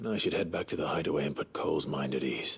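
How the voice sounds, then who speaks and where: In a raspy put-on character voice, a man rattles along at a very fast pace with very even loudness. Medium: video game. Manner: low-key, measured.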